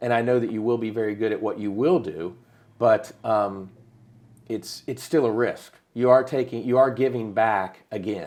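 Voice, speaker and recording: Speech comes at a moderate pace with an American accent. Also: man, medium pitch for a man. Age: 50s. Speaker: podcast host. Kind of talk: casual chat. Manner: animated.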